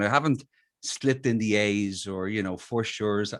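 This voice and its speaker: The speaker talks at a moderate pace with an Irish accent. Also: man. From Ireland, Dublin. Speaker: musician. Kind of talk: interview.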